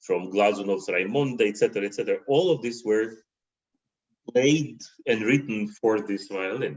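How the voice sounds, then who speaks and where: The man's pitch sits in the medium range. He talks at a moderate pace. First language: Russian. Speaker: concert violinist. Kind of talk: interview conversation. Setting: livestream video call. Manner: halting, repeats words.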